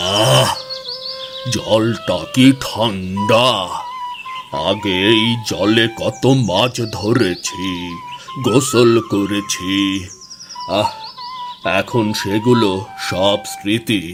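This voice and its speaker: A man puts on a cartoonish character voice at a medium pitch and a very slow pace. Background noise is clearly audible. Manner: affectionate, homely.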